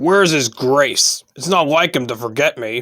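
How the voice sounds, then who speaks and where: Using a raspy, put-on character voice, a man speaks at a fairly high pitch and a moderate pace. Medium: read story. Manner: prim, old-fashioned and formal.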